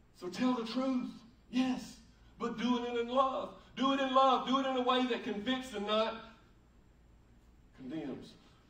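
With an American accent, a man speaks at an extremely high pitch, fairly slowly and with fairly even intonation. He pauses long and often, and the room echo is audible. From United States. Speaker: pastor. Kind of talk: sermon preached to a congregation. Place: church.

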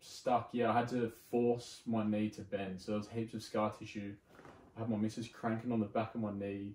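In an Australian accent, a man speaks in a fairly low, monotone voice with flat intonation. Audible room echo and light background noise surround him. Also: moderate pace. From Sydney, Australia. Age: 20s. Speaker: arborist; podcast guest. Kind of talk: casual chat. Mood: casual, relaxed recounting. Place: home room.

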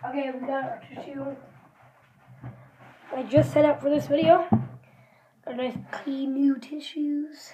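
In a room with audible echo, a woman speaks fairly slowly at high pitch, her intonation fairly even, her loudness swinging widely, with long, frequent pauses. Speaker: vlogger. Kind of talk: casual taste-test vlog. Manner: mouth full while talking.

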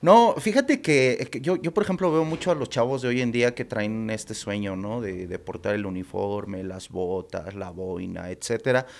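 Speaking at a moderate pace with hardly any pauses, a man at medium pitch makes very wide pitch swings. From Mexico City, Iztapalapa; Mexico City. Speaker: former soldier and film director; podcast guest. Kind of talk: casual interview. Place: studio. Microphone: studio mic.

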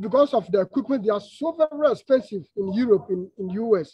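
A man is speaking. Music plays in the background. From Ghana, Eastern Region (Krobo). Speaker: glass blower. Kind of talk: interview. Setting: video call. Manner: halting.

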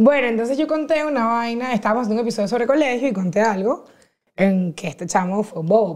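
Talking at a very fast pace, a woman with a fairly high pitch shows big swings in loudness against a quiet background. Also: lively intonation. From Venezuela, Caracas. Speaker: podcaster and comedian; podcast guest. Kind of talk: casual chat. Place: studio. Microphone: lapel.

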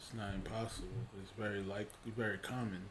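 A man's somewhat breathy, monotone, flat delivery over light background noise. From Haiti. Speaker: Bible study leader; preacher or host. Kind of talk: Bible study discussion; prayer. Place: home room. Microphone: webcam.

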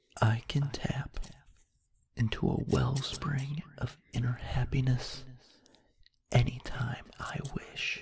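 The speaker is soft-spoken, talking at a very slow pace with long, frequent pauses. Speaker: ASMR creator. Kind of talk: positive affirmations read.

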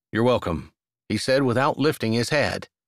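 A man's medium-pitched voice with ordinary pitch variation, in a very clean recording with a silent background. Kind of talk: audiobook reading of a romance novel, narration with character dialogue.

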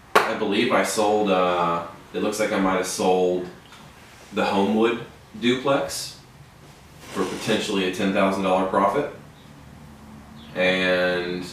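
Amid light background noise and audible room echo, a man with a fairly low pitch speaks at a fairly slow pace and with fairly even intonation. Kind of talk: casual office conversation. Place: office. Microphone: camera far.

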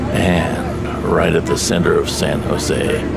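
Background music under a man's voice. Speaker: train traveler vlogger. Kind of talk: casual vlog chat. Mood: wry, resigned about delay. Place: train. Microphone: phone near.

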